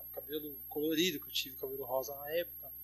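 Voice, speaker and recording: Fairly quick speech in a dry, close sound with no echo, music playing in the background. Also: man. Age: 20s. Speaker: DJ. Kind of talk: casual chat.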